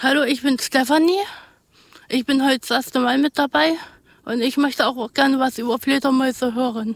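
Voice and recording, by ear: A woman speaks at a high pitch and a moderate pace, her intonation fairly even and touched with vocal fry. The sound is dry and close, with no echo.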